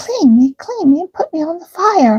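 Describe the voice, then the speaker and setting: Using a put-on character voice, a woman sounds squeaky and extremely high-pitched at a moderate pace. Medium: read story. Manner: singsong, repetitive.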